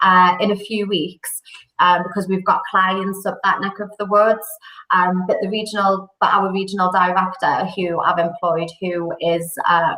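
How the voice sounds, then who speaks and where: Speaking fairly slowly with a Geordie accent, a woman keeps a medium pitch and fairly even intonation. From northern England, Newcastle. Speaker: recruitment company director. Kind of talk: podcast interview.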